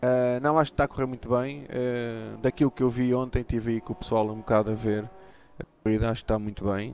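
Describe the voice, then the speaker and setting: A man is talking. Background music plays behind his voice. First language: Portuguese. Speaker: sim racing team owner. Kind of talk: live interview. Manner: halting, repeats words.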